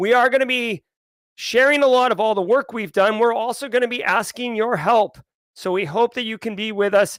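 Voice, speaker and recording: Loud, fairly quick speech with ordinary pitch variation in a dry, close sound with no echo. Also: man, extremely high pitch for a man. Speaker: conference organizer and livestream host. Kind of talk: livestream meeting. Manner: animated.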